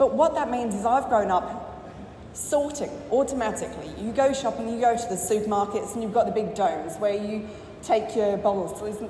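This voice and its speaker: An English accent at a moderate pace with ordinary pitch variation, plus audible room echo and noticeable background noise. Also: woman, fairly high pitch for a woman. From England. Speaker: business owner. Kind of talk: conference talk.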